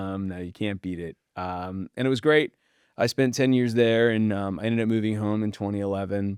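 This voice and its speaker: In a Californian accent, a man with a fairly low pitch speaks at a fairly quick pace with ordinary pitch variation, in a very clean recording with a silent background. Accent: General American (Californian). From Southern California (Pacific Palisades). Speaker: real estate debt broker. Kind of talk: podcast interview.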